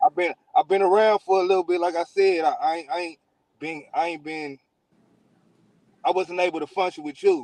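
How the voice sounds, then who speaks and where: A fairly quick pace with long, frequent pauses, fairly even intonation, big swings in loudness, and a dry, close sound with no echo. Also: man, high pitch for a man. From South Central Los Angeles (Westmont). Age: middle-aged. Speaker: rapper. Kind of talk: casual interview.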